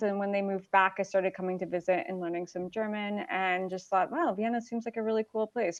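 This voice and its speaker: A woman speaks with a slight Chicago accent. Her pitch varies in an ordinary way. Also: quiet background. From US Midwest, Chicago. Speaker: startup marketing executive. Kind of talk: casual interview.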